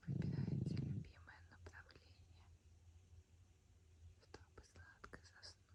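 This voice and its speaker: Whispering in a gentle tone, a woman goes at a very slow pace with long, frequent pauses. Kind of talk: ASMR sleep whisper. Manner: whispered; soft, gentle.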